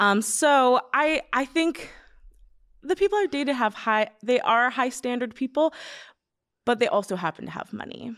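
This woman talks at a moderate pace with long, frequent pauses. Her high pitch moves in very wide swings, and the sound is dry and close with no echo. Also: very clean recording, silent background. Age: 20s. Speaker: social media influencer. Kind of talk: casual chat.

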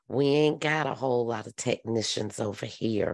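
A woman with a very deep, low pitch at a fairly slow pace, with fairly even intonation against a quiet background. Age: 50s. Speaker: podcast host. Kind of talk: casual chat.

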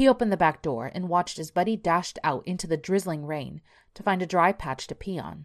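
The speaker reads in a natural voice. Pitch moves up and down in an ordinary way.

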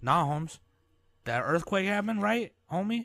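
Putting on a character voice, a man speaks at a high pitch and a moderate pace with lively intonation.

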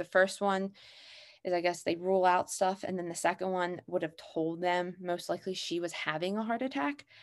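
In a quiet background, a woman with an American accent speaks at a fairly quick pace. Hers is an unremarkable speaking voice at medium pitch with fairly even intonation. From Pennsylvania, US. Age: 20s. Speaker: podcast guest sharing grief story. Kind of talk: personal testimony.

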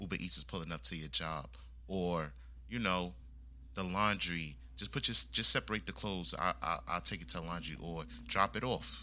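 This man has a very deep, low pitch with vocal fry and a bright, sharp tone. His intonation is lively at a moderate pace, on a very clean recording with a silent background. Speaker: podcaster guest. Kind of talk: casual chat.

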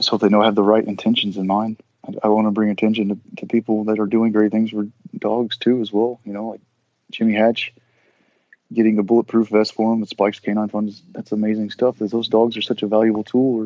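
At a fairly quick pace, a man with a fairly low pitch and an American accent speaks in a dark, mellow tone with monotone, flat intonation and a dry, close sound with no echo. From Southeast Texas. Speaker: former Navy SEAL and author. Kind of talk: casual interview. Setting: podcast interview.

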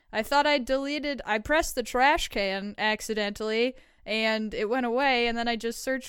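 A woman with an unremarkable speaking voice, fairly high in pitch, speaks at a moderate pace in a very clean recording with a silent background. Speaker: co-host. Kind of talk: casual chat, reading listener confessions.

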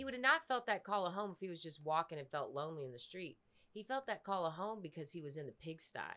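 A woman with an American accent speaks at a very fast pace in an animated, bright, sharp tone. Her pitch is fairly low, with lively intonation. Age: 30s. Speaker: podcast co-host, recovering addict. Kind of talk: casual chat.

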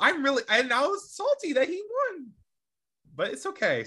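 A squeaky, put-on character voice sits at an extremely high pitch with very wide pitch swings. It moves at a fairly slow pace.

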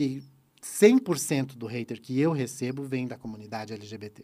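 Speaking at a fairly slow pace, a man uses a medium pitch, a dark, mellow tone and lively intonation. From Santa Catarina, southern Brazil. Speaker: YouTube presenter and former celebrity impersonator. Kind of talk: casual chat.

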